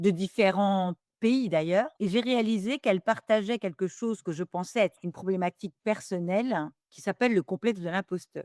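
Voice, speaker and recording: A woman with a medium pitch speaks at a moderate pace, with ordinary pitch variation, big swings in loudness, and a dry, close sound with no echo. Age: 60s. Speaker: business school professor and governance expert. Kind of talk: interview. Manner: hesitant, with many fillers.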